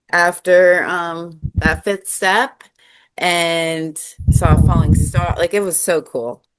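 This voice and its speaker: A woman's fairly low voice in an American accent, very slow in pace, with ordinary pitch variation. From US South, South Carolina. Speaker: recovery content creator. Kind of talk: casual interview, personal testimony. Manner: loud, then lowered.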